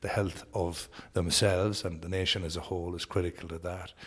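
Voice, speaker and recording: A somewhat breathy voice with a Sligo Irish accent speaks at a fairly quick pace in a flat, monotone intonation. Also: man. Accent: Irish (north-west, Sligo). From Ireland, Sligo. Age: 40s. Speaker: politician. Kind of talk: interview.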